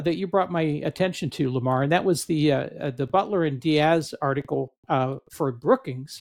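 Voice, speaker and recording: With a plain, everyday voice, a man talks at a moderate pace with lively intonation and hardly any pauses, the sound dry and close with no echo. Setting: video call with headset.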